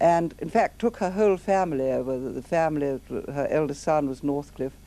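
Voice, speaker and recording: A dark, mellow tone with ordinary pitch variation at a fairly quick pace. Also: woman, very deep, low pitch for a woman. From England. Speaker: memoirist recalling life in Nazi Germany. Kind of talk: interview.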